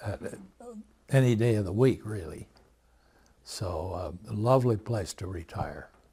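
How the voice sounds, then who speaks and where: In an American accent, a man with a fairly low pitch and a dark, mellow, somewhat breathy tone talks at a moderate pace with ordinary pitch variation, big swings in loudness and long, frequent pauses. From US Midwest, South Dakota. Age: 80s+. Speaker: retired accountant. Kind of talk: family interview.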